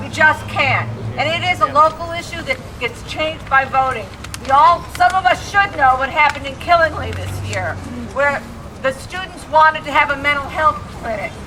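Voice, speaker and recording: A woman's raised, projected voice at a high pitch, with big swings in loudness and noticeable background noise. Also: ordinary pitch variation, moderate pace. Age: old. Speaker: activist speaker. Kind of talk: rally speech.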